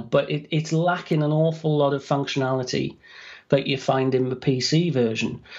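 Moderate pace and fairly even intonation, with a British accent. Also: man. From UK. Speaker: author and dictation software trainer. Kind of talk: podcast interview.

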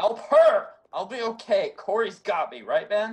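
At a moderate pace, a man uses a put-on character voice. The pitch is extremely high, with big swings in loudness. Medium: audio drama. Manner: gasping, strained.

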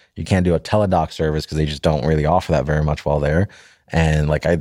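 A man's very deep, low voice in an American accent, dark and mellow in tone, at a very fast pace with fairly even intonation. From Florida. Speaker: podcast co-host. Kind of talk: casual chat. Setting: studio.

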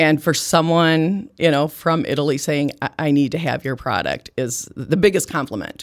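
With hardly any pauses, a woman talks at a very deep, low pitch. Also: ordinary pitch variation, moderate pace. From US Midwest, small farm town in Iowa. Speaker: liqueur company founder. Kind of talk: interview conversation.

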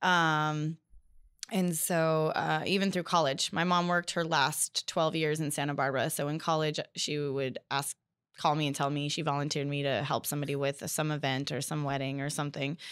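A woman with a Californian accent speaks at a moderate pace. Her pitch is very deep and low, and her intonation is fairly even. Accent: Californian American. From US West Coast (Bakersfield, California). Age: 30s. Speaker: floral designer. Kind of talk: interview.

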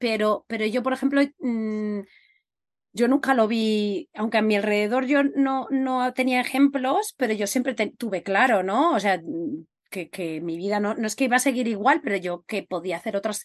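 A woman's fairly high pitch in an ordinary speaking voice, with ordinary pitch variation, a moderate pace and a quiet background. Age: 40s. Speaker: podcast host. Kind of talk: casual interview chat.

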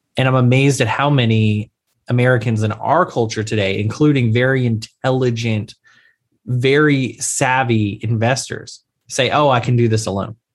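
A man's an unremarkable speaking voice at medium pitch, moderate pace and fairly even intonation, with very even loudness in a very clean recording with a silent background. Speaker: insurance attorney. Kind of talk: casual interview chat. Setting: call.

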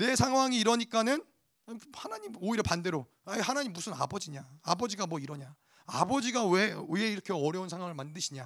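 A high-pitched man at a fairly quick pace, with very wide swings in pitch. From Korea, teenage years in the US. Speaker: pastor. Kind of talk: sermon.

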